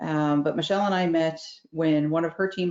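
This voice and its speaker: A woman talks at a fairly quick pace in a Newfoundland accent. Her pitch is very deep and low. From Newfoundland and Labrador, Canada. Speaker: facilitator and event host. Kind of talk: casual virtual networking chat. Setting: video call. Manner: fast.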